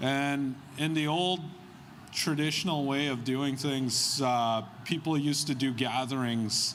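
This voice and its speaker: Someone with a Canadian accent talks at a fairly slow pace with fairly even intonation and audible room echo. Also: man, fairly high pitch for a man, very even loudness. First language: Algonquin. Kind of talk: public address. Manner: hesitant, many fillers.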